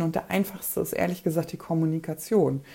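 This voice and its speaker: A woman speaks with a dark, mellow, somewhat breathy tone at a fairly low pitch, her pitch varying in an ordinary way. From Poland. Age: 30s. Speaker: breast cancer survivor and podcaster. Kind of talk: casual chat.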